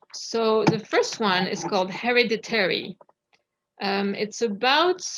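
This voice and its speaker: The speaker has a French accent and talks at a fairly slow pace. Their pitch variation is ordinary. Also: woman. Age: 30s. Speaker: poet. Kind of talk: casual talk to audience. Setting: video call.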